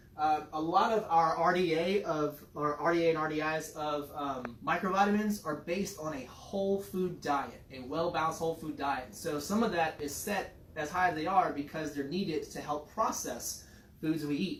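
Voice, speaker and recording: With audible room echo and noticeable background noise, a man speaks at a moderate pace in a fairly high pitch with ordinary pitch variation. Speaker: fitness and nutrition coach. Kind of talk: casual educational chat.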